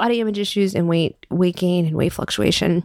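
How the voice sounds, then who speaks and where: A woman with an unremarkable speaking voice talks at a fairly low pitch with ordinary pitch variation, in a dry, close sound with no echo. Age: 40s. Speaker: podcast host, personal style coach. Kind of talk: solo podcast monologue.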